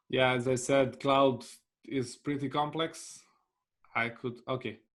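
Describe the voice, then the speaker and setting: The pace is very slow. A man speaks with a monotone, flat intonation. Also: medium pitch for a man. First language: Bosnian/Serbian/Croatian. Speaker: business development manager and cloud solutions architect. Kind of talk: webinar presentation with Q&A. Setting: online webinar. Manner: halting, with frequent fillers.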